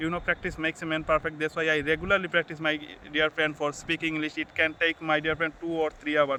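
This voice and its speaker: A man talks at a very fast pace with a non-native accent. His pitch is fairly high and his intonation monotone and flat. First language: Bengali. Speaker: YouTuber, English learner. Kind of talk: motivational vlog. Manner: halting, self-correcting.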